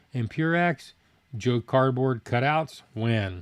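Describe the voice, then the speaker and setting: A man's medium-pitched voice with lively intonation, dry and close with no echo. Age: 60s. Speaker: food review youtuber. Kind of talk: live stream Q&A chat. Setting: live stream. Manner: fast; casual.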